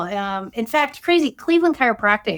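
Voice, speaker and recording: A woman with a fairly high pitch is heard on a very clean recording with a silent background. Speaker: chiropractor. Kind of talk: interview. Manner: loud laugh; halting.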